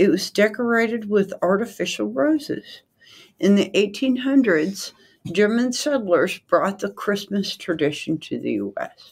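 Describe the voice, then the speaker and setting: On a very clean recording with a silent background, a woman speaks fairly slowly at a medium pitch, with vocal fry and lively intonation. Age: 60s. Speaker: podcast co-host. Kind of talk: reading aloud.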